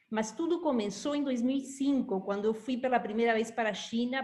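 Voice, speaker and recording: A woman with a fairly high pitch keeps her intonation fairly even as she talks at a moderate pace. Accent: Uruguayan. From Uruguay. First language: Spanish (speaking Portuguese). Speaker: institute director. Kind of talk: interview.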